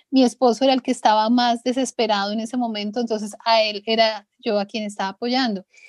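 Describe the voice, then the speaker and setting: On a very clean recording with a silent background, a woman talks at a moderate pace in a high pitch. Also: dry, close sound with no echo. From Colombia. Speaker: former doctor and writer, adoptive mother. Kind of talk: interview testimony.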